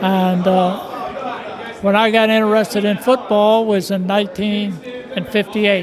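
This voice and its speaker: Amid noticeable background noise and audible room echo, a man with a high pitch talks at a fairly slow pace in a monotone, flat intonation. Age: 80s+. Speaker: football fan. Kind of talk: on-location interview.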